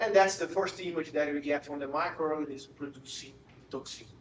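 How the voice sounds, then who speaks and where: A man with a Portuguese accent, fairly high in pitch, at a moderate pace with fairly even intonation, amid noticeable background noise and audible room echo. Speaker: professor. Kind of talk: lecture. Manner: halting, with frequent repetitions.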